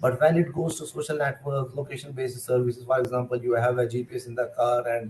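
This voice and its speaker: A man's very fast, somewhat breathy delivery in a monotone, flat intonation. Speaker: computer science lecturer. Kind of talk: lecture. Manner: hesitant, many fillers.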